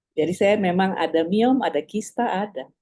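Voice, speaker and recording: A woman speaks with a dark, mellow tone. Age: 70s. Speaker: doctor. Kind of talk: casual chat.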